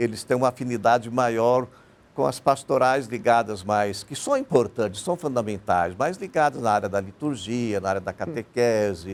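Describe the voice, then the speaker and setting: The voice is unremarkable, moving at a moderate pace. Its pitch varies in an ordinary way. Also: man. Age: 60s. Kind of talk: TV panel interview.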